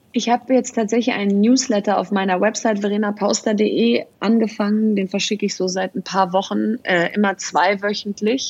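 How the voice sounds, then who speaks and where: At a moderate pace and with hardly any pauses, a woman of medium pitch speaks in a somewhat breathy voice with fairly even intonation. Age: 40s. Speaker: entrepreneur and author. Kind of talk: interview.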